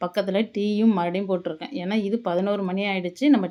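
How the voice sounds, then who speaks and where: This woman has a medium pitch, a dark, mellow tone and fairly even intonation. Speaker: cooking vlogger. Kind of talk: home vlog narration. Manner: casual.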